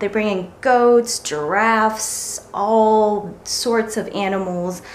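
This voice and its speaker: Against light background noise, a woman talks with fairly even intonation. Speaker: lifestyle vlogger. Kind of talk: casual vlog chat. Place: home room. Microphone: phone near.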